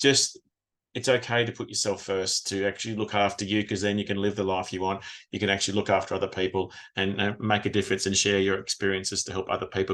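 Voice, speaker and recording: A very fast voice with an Australian accent against a quiet background. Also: man. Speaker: retired police officer and trauma recovery coach. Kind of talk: podcast interview.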